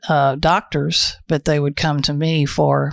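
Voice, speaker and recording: A woman speaks in a Texas accent at a very deep, low pitch, her intonation monotone and flat. The sound is dry and close, with no echo. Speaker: naturopath. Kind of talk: podcast interview.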